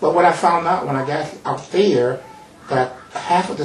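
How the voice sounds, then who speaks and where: A man with an American accent at a moderate pace, ordinary pitch variation, audible room echo and music in the background. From Mississippi and Chicago. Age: old. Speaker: psychologist and retired pastor. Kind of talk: talk show interview. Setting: TV studio. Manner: halting, many fillers.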